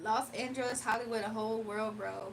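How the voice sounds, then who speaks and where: Against noticeable background noise, a woman speaks in an animated tone at a fairly high pitch. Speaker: livestreamer and spiritual reader. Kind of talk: casual livestream chat. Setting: live stream.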